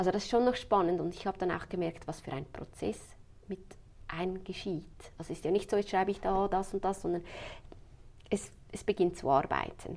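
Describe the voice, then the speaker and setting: Her speech has fairly even intonation, broken by long, frequent pauses. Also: medium pitch for a woman. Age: 30s. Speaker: funeral planner. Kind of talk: interview.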